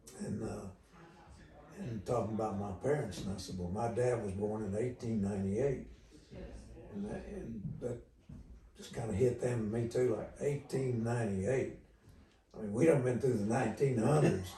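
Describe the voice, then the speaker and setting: With noticeable background noise and audible room echo, a man of medium pitch talks at a moderate pace with ordinary pitch variation and long, frequent pauses. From Oklahoma. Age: 80s+. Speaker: country music veteran. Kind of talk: interview. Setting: at his home.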